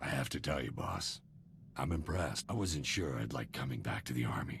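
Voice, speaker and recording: Over clear background noise, a man does a raspy, put-on character voice with a very deep, low pitch at a fairly quick pace. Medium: video game. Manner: casual, breezy.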